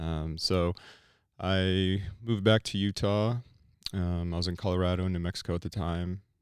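A man's very deep, low voice in a flat monotone, at a moderate pace with long, frequent pauses, on a very clean recording with a silent background. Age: 30s. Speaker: former firefighter, hemp business owner. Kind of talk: casual interview.

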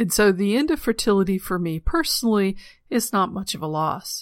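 At a moderate pace, a woman talks on a very clean recording with a silent background. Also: dry, close sound with no echo. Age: 40s. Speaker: podcast host. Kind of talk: solo monologue.

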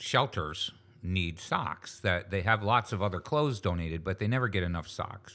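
In a very clean recording with a silent background, a bright, sharp voice with an American accent moves at a moderate pace with ordinary pitch variation. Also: man. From western New York, US. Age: 60s. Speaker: retired business founder and charity founder. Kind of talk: casual interview.

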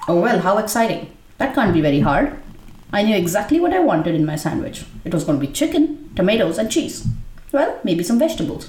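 A woman speaks at a fairly quick pace in a medium pitch, with very wide pitch swings and very even loudness over noticeable background noise. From India. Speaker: essay writer and performer. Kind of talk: reading aloud a personal essay.

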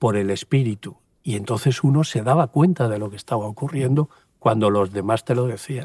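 In a very clean recording with a silent background and a dry, close sound free of echo, a man speaks at a medium pitch with ordinary variation, somewhat breathy and at a fairly quick pace. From Spain, Valencia region (Puerto de Sagunto). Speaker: pastor and former army helicopter pilot. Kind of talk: interview testimony. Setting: outdoors at a mountain helipad.

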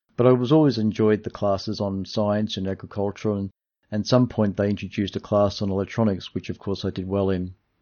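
The speaker has an Australian accent. The pace is fairly quick and the intonation fairly even. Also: man, fairly low pitch for a man. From Australia, Melbourne (Dandenong). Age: 60s. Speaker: radio technician and amateur radio astronomer. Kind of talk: interview, partly read from prepared notes.

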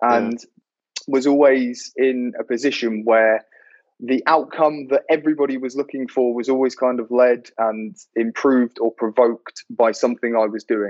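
An ordinary speaking voice from a man, medium in pitch, with fairly even intonation at a moderate pace. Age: 20s. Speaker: sales professional. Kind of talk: casual chat.

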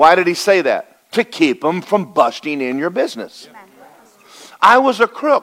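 With an American accent, a man speaks in an animated tone at a high pitch. His voice swings very widely in pitch. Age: 60s. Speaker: pastor. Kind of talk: sermon. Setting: church.

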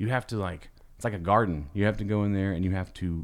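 Very fast and with fairly even intonation, a man speaks in a fairly low pitch. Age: 30s. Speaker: sneaker YouTuber. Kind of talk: casual chat. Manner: casual, joking, profane.

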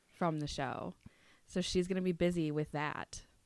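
Speaking with a Minnesotan accent, a woman uses a very deep, low pitch, monotone, flat intonation and a fairly slow pace. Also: very clean recording, silent background. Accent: Minnesotan, moderate. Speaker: podcast co-host. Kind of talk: casual chat.

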